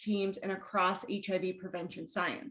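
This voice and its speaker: A woman speaks in a somewhat breathy voice. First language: Spanish. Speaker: academic researcher. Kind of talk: lecture. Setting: video call. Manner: formal.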